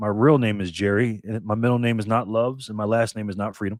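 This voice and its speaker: In an American accent, a man talks at a moderate pace with medium pitch and a plain, everyday voice. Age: 50s. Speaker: bitcoin YouTuber. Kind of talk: casual interview chat.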